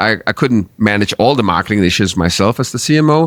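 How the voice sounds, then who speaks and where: The recording is very clean with a silent background as the man talks at a fairly quick pace. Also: dry, close sound with no echo. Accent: Danish. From Denmark. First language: Danish. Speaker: marketing agency founder. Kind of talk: interview. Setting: studio.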